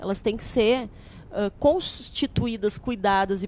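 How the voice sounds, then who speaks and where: There is light background noise as a woman talks in a southern Brazilian accent. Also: dry sound with no echo. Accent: Brazilian Portuguese, gaúcho. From southern Brazil, Rio Grande do Sul (Paranhana valley); Rio Grande do Sul, Brazil. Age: 40s. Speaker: political candidate; candidate. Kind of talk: interview. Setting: studio, live broadcast. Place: studio. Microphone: handheld.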